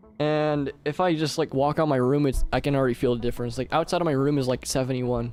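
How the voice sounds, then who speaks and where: Over music in the background, a man with a fairly high voice talks at a very fast pace with hardly any pauses, very even loudness and fairly even intonation. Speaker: video game streamer. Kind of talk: casual live stream chat. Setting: home bedroom. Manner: rambling with many fillers.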